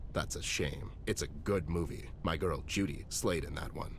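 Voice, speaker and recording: Over loud background noise, a man uses a put-on character voice, very deep and low in pitch, at a moderate pace. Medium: video game. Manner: dry, world-weary.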